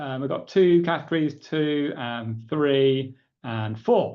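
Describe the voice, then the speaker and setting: A man speaks with an English accent, his pitch medium and its variation ordinary. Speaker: professor. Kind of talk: lecture. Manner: casual, with frequent fillers.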